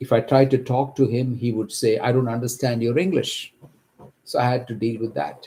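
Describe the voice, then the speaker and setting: A man with a Kerala accent speaks at a moderate pace, his medium-pitched voice somewhat breathy with a dark, mellow tone. The recording is very clean, with a silent background. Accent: Indian English (Kerala). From India, Kerala. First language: Malayalam. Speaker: accountant, homeowner telling his story. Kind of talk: personal testimony. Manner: halting, with fillers and restarts.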